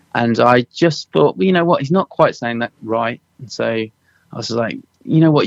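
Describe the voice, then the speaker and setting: A man talks at medium pitch with ordinary pitch variation. The sound is dry and close with no echo, over a quiet background. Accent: slight Suffolk. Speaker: dialect assistant on a film, former musician. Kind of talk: interview. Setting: radio interview.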